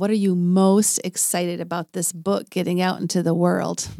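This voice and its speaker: A woman speaks at a moderate pace in a medium pitch, with a plain, everyday voice. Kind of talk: casual podcast conversation.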